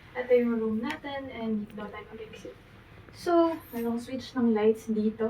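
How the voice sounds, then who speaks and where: Speaking quietly at a moderate pace, a woman uses a fairly high pitch with ordinary pitch variation. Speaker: travel vlogger. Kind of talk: vlog room tour. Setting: hotel room. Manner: quiet, lowered voice.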